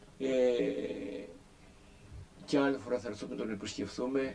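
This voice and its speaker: A man with a dark, mellow tone and medium pitch speaks at a fairly slow pace, pausing long and often. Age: 60s. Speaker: pilgrim video narrator. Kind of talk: casual narration.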